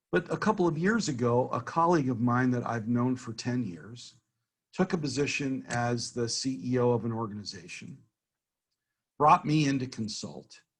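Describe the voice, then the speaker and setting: At a moderate pace, a man talks in a medium pitch with lively intonation and a somewhat breathy sound. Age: 60s. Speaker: business consultant giving a networking workshop. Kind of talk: workshop talk.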